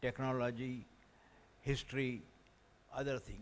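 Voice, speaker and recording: With an Indian accent, a man talks at a moderate pace and a medium pitch. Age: 80s+. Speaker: scientist and education consultant. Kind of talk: audience question at conference. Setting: conference hall with audience.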